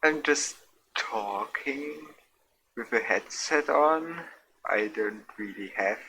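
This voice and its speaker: A soft-spoken man talks at a very slow pace. His intonation is lively. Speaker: gaming streamer. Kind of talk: casual gameplay commentary. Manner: quiet, soft-spoken; slurred, drunk-sounding.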